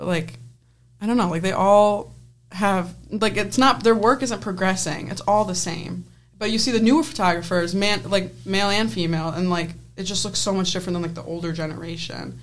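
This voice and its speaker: With an American accent and some vocal fry, a woman speaks fairly quickly at medium pitch with ordinary pitch variation, in audible room echo. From US, Penfield, New York. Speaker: student sports photographer. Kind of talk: casual chat.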